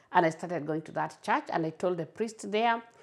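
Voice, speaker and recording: A woman speaks in a Kenyan accent at a medium pitch with ordinary pitch variation. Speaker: community advocate for migrants. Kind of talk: interview, personal testimony. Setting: at home. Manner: halting, repeats words.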